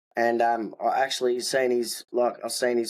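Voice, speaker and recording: A man in a strong Australian accent speaks at a medium pitch with monotone, flat intonation. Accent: broad Australian. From Tasmania, Australia (Hobart area). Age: 20s. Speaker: hip hop artist, former prisoner. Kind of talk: podcast interview, life story.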